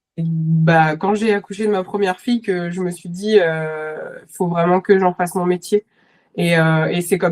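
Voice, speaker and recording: A woman with a medium-pitched voice talks at a moderate pace and fairly even intonation, in a dry, close sound with no echo. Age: 30s. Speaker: nurse and horse boarding owner. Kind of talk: podcast interview. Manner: halting, many fillers.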